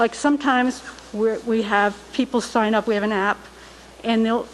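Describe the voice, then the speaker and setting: Her voice sits fairly high for a woman, with ordinary pitch variation and noticeable background noise. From Rhode Island, Barrington. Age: 60s. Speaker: resident speaking at public comment. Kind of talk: public comment at town council meeting. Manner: halting.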